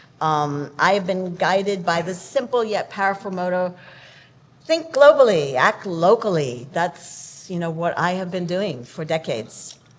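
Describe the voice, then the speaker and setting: A woman's medium-pitched voice, fairly slow, with lively intonation over noticeable background noise. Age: 70s. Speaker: environmental activist. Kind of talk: panel discussion.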